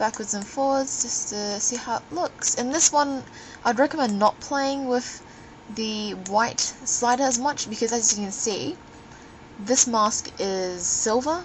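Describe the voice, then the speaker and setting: Over noticeable background noise, a high-pitched woman talks at a fairly slow pace with ordinary pitch variation. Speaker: photographer. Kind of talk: software tutorial narration. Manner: slurring.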